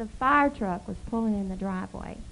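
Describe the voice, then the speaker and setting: With audible room echo, a woman talks at a moderate pace and with lively intonation. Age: 40s. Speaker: pastor's wife. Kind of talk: church talk. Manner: informal, laughing.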